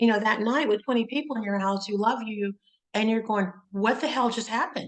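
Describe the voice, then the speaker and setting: In an ordinary speaking voice, a woman talks at a fairly quick pace with a fairly high pitch. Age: 60s. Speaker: interviewer, breast cancer advocate. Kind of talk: interview.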